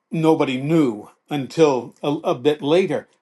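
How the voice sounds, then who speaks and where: A man talks in an ordinary speaking voice with a fairly high pitch and ordinary pitch variation. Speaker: veteran sportscaster and author. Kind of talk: casual interview answer, storytelling.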